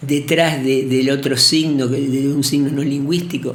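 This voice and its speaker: Amid noticeable background noise and audible room echo, a man talks in a fairly high pitch with monotone, flat intonation. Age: 70s. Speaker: poet and professor. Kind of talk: interview. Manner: halting.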